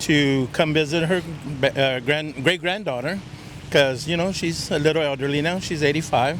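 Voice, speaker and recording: A man with an American accent at a moderate pace, fairly even intonation, and noticeable background noise. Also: fairly high pitch for a man. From South Texas, Victoria. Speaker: street interviewee. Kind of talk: casual chat. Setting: outdoors.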